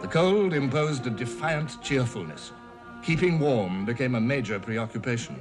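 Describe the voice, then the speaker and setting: A man speaks in a British accent at a medium pitch and moderate pace. His intonation is lively, with music in the background. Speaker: narrator. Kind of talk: documentary narration.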